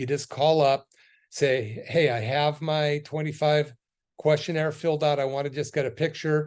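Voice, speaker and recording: At a moderate pace, a man speaks in an unremarkable speaking voice, fairly high in pitch with fairly even intonation, against a quiet background. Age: 60s. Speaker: chiropractor and wellness radio host. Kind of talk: radio health talk with promotion. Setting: radio studio. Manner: casual with filler words.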